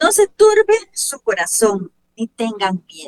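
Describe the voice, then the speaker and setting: Lively and animated, a woman with a Costa Rican accent talks at a fairly high pitch in a dry, close sound with no echo. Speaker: radio show host. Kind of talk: religious radio program.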